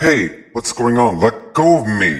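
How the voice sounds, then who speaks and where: Using a put-on character voice, a man of medium pitch speaks at a fairly slow pace with very wide pitch swings. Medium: audio drama. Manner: tense, skeptical.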